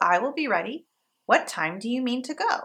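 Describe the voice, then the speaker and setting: In a put-on character voice, a female-sounding voice speaks at a high pitch and a moderate pace. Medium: read story. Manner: polite, plucky.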